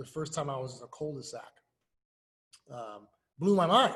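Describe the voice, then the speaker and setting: A man with an American accent delivers his words at a fairly quick pace. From US Midwest, inner city of Lincoln. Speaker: youth sports coach and nonprofit founder. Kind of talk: interview. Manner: casual, animated.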